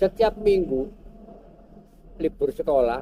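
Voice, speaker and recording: A man's high-pitched voice with lively intonation, at a fairly slow pace, in a dry, close recording with no echo. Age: 70s. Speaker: local historian and cultural figure. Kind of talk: interview. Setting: vintage cafe.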